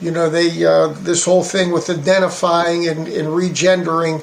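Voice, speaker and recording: A man's high voice with an American accent, monotone and flat, at a moderate pace, with audible room echo and noticeable background noise. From western Pennsylvania. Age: 60s. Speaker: political candidate. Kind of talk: interview. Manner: halting, many fillers.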